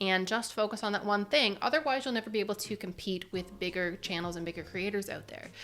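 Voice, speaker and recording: A quiet voice with a bright, sharp tone and ordinary pitch variation comes through on a very clean recording with a silent background. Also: woman. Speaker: youtube creator. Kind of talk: vlog-style talk to camera. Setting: home video setup. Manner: soft-spoken.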